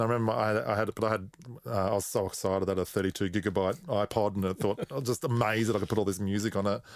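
A man with an Australian accent speaks at a very fast pace in a fairly low pitch, with very even loudness. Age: 40s. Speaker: musician and record producer. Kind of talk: casual chat.

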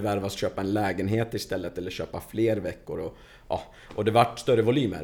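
Fairly low in pitch, a man talks at a fairly quick pace with a dark, mellow tone and fairly even intonation. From Stockholm suburbs (Tensta). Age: 30s. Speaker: construction coordinator. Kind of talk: casual interview.

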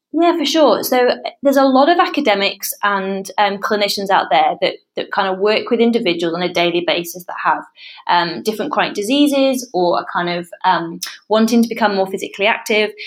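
With a British accent, a woman talks fairly quickly at a fairly high pitch, her voice swinging very widely in pitch. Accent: British accent living in Australia. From England. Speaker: researcher on parkrun research board. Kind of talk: casual interview.

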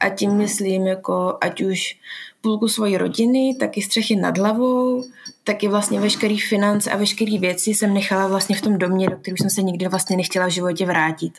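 A woman in an ordinary speaking voice, medium in pitch, speaks at a moderate pace with very even loudness and fairly even intonation. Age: 20s. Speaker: sports therapist. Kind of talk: interview.

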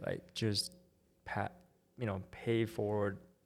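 This man talks at a moderate pace in a fairly low pitch, his intonation monotone and flat. The recording is very clean, with a silent background. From Taiwan. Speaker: founder of online art school. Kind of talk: casual interview.

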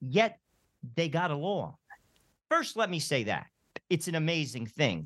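A man's fairly high pitch with vocal fry and an American accent, lively intonation, a fairly slow pace, and long, frequent pauses. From New Jersey. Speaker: radio host. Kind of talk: radio interview.

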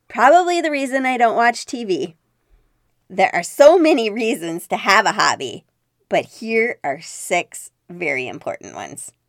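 Very wide pitch swings and big swings in loudness mark a woman's fairly high voice with vocal fry, delivered at a moderate pace. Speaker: podcast host. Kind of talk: solo podcast talk.

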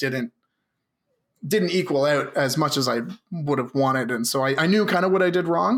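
With a Canadian accent, a man talks at a fairly quick pace in a plain, everyday voice, fairly high in pitch with ordinary pitch variation. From Canada, Southern Ontario. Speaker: tabletop wargame player. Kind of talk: casual chat.

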